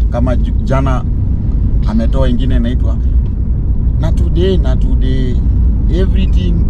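A man talks at a fairly slow pace with a dry sound and no echo. Loud background noise fills the recording. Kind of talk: casual playful chat. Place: car. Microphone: camera far.

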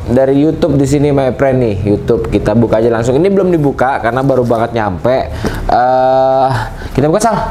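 Amid noticeable background noise and audible room echo, a man speaks very fast at a medium pitch, with lively intonation and very even loudness. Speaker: YouTuber and motorbike racing organizer. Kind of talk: casual vlog monologue, unboxing. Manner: animated.

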